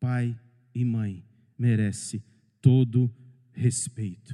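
A man's dark, mellow voice at medium pitch moves at a very slow pace. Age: 40s. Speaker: pastor. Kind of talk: sermon. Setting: church, livestreamed.

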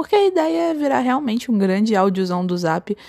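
Recorded very cleanly against a silent background, a woman's voice comes through with a dry, close sound and no echo. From interior of Rio de Janeiro state, Brazil. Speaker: podcast host, designer. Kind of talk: casual solo monologue. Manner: playful, humorous.

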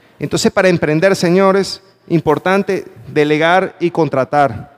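A man with a Venezuelan accent talks at a fairly slow pace in an animated tone, his pitch high and its variation ordinary. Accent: Venezuelan, noticeable to Panamanians. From Venezuela, Valencia. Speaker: motivational speaker. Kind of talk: motivational talk. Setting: stage with audience.

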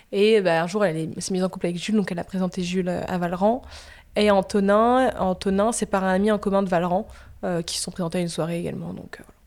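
Talking at a very fast pace, a woman with a medium pitch keeps her intonation fairly even while her loudness swings widely, all on a very clean recording with a silent background. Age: 20s. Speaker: media entrepreneur. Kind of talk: casual interview.

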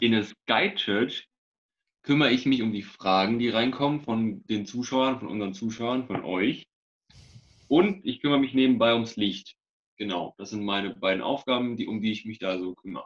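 An ordinary speaking voice comes from a man with a medium pitch. He keeps a moderate pace with ordinary pitch variation. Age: 20s. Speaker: police cadet and church media volunteer. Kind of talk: casual chat.

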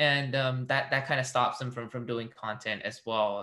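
A man speaks in a bright, sharp tone with monotone, flat intonation. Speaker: podcast host. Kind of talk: casual interview.

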